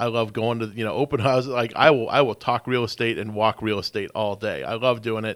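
On a very clean recording with a silent background, a man with an unremarkable speaking voice talks at a fairly quick pace, medium pitch and fairly even intonation. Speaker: radio show host, real estate investor. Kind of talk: casual radio interview. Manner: casual, filler-heavy.

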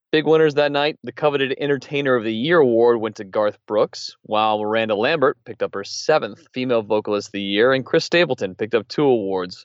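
Very fast and with hardly any pauses, a man talks at a medium pitch with ordinary pitch variation. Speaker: podcast co-host. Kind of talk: news discussion. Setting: studio.

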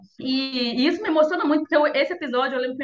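Someone talks at a very fast pace while music plays in the background. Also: woman. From interior of Minas Gerais, Brazil. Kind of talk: interview and casual chat.

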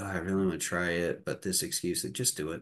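A man talks in a very deep, low pitch with a Midwestern American accent. The background is quiet. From Indiana. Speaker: comedian and college professor. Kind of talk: casual interview.

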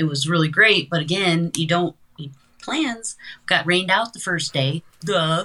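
The speaker has an American accent and keeps a moderate pace. Noticeable background noise runs underneath. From US Midwest, South Dakota. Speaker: filmmaker and producer. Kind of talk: casual interview chat.

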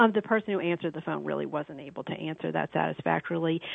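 A woman talks with an American accent. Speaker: caller. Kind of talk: casual chat. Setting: phone call.

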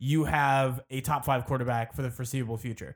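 At a fairly quick pace, a man talks in an ordinary speaking voice with a fairly high pitch. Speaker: podcast host. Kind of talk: casual chat.

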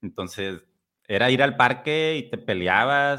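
Here is a man with a plain, everyday voice at medium pitch. His intonation is lively and his pace moderate. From Mexico, Tampico. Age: 30s. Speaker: podcast host. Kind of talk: casual interview.

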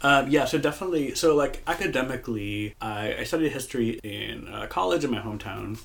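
With an American accent and lively intonation, a man talks at a fairly quick pace and medium pitch with hardly any pauses over noticeable background noise. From US Midwest, Moline, Illinois. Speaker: podcast co-host, queer history worker. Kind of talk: casual chat.

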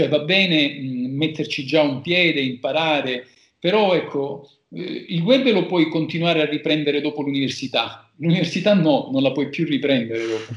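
An ordinary speaking voice, with ordinary pitch variation, moves along at a moderate pace. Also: man, fairly high pitch for a man. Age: 40s. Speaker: lawyer. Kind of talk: casual interview.

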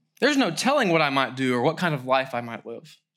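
Recorded very cleanly over a silent background, a man speaks with a bright, sharp tone and very wide pitch swings. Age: 30s. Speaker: pastor. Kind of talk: sermon.

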